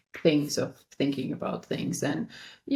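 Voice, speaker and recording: A woman with vocal fry at a moderate pace. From Romania. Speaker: architect. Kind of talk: interview.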